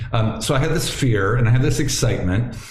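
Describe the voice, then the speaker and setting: Noticeable background noise and audible room echo surround a man speaking with an American accent. He talks at a fairly quick pace and medium pitch, with ordinary pitch variation. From Ohio, US Midwest. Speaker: yoga teacher and former family doctor. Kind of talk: interview conversation. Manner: halting, many repeated words.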